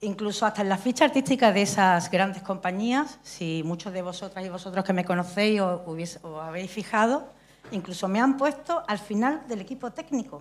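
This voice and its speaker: Lively intonation marks a woman talking at a moderate pace. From Andalusia. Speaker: stage director and playwright; speaker. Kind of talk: audience contribution in forum. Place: stage.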